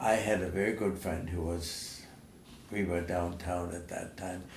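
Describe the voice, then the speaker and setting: In a room with audible echo, a man with a German accent speaks at a fairly slow pace in a very deep, low pitch. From Germany (Nuremberg). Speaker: war veteran. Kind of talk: oral history interview. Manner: halting.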